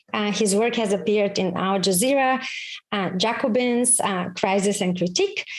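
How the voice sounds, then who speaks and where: A woman with a Bulgarian accent speaks at a fairly quick pace. Her pitch is fairly high, with ordinary variation. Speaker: foundation chair, event host. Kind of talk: formal event introduction. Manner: formal.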